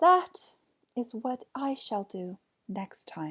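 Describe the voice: Using a put-on character voice with a fairly bright tone and a slightly husky edge, the speaker moves slowly through big pitch swings. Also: woman, fairly high pitch for a woman.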